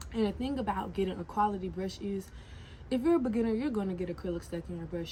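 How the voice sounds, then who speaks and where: Speaking very fast at a medium pitch, a woman has an animated tone and lively intonation. Vocal fry runs through her voice. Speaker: nail tech and entrepreneur vlogger. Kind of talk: casual vlog tutorial.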